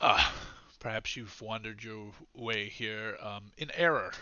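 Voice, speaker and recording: A put-on character voice at a moderate pace, with fairly even intonation. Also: man, medium pitch for a man, big swings in loudness. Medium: actual play. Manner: courteous, cool, condescending.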